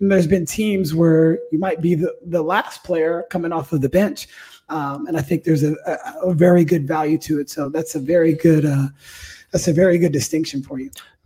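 This man has a plain, everyday voice, fairly high in pitch. He speaks at a fairly quick pace with fairly even intonation. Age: 40s. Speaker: podcast host and basketball coach. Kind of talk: casual chat.

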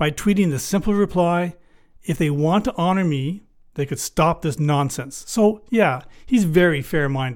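On a very clean recording with a silent background, a man in a normal speaking voice talks at a moderate pace, fairly high in pitch with lively intonation. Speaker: comedic podcast host posing as a life coach. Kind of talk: scripted comedic monologue.

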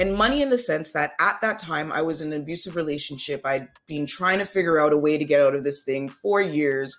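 A woman with a Toronto accent and a very deep, low voice speaks at a moderate pace with ordinary pitch variation, with noticeable background noise around her. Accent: Canadian English, Toronto. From Canada, Toronto. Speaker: front-end web developer. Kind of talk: interview.

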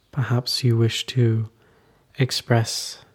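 A somewhat breathy, medium-pitched male voice with monotone, flat intonation. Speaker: meditation teacher. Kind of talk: guided meditation. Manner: slow, calm, soothing; gentle, unhurried, with long pauses.

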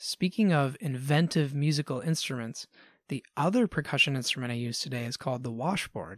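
An unremarkable speaking voice from a man at a fairly high pitch comes at a fairly quick pace with lively intonation, in a dry, close sound with no echo on a very clean recording with a silent background. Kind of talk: friendly educational explanation for kids.

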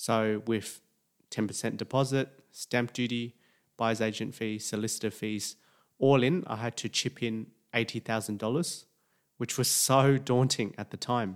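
A man with an Australian accent and fairly even intonation, in a very clean recording with a silent background. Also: medium pitch for a man, moderate pace. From Sydney, Australia. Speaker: doctor and property investing podcaster. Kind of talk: personal story podcast monologue.

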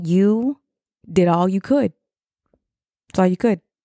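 A woman speaks with an American accent and a dark, mellow tone. The sound is dry and close, without echo. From Chicago area, US Midwest. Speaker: podcast host, mother of an incarcerated son. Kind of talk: casual monologue podcast, encouraging talk. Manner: conversational, with fillers and self-corrections.

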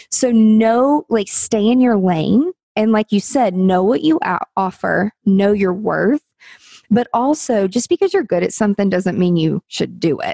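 Heard dry and close with no echo, a woman talks at a fairly slow pace in a dark, mellow tone, her fairly high pitch carried by lively intonation. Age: 40s. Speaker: business coach. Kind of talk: interview.

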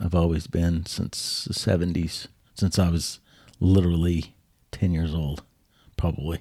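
At a fairly slow pace, a man with a very deep, low pitch and a dark, mellow tone speaks in a flat monotone with long, frequent pauses, on a very clean recording with a silent background. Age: 50s. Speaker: podcast co-host. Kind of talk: casual chat.

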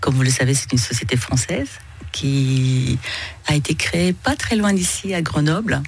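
Music plays in the background as a woman speaks at a fairly slow pace. Her pitch is very deep and low. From Iranian origin, raised in northern France. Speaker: business executive, chamber of commerce president. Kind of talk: radio interview. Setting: radio studio. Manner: hesitant, many filler sounds.

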